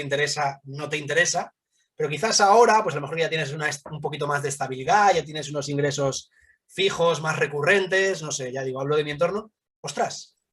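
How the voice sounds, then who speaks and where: A man with a normal speaking voice talks fairly quickly, his pitch fairly high and varying in an ordinary way. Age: 30s. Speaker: fund manager. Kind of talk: interview.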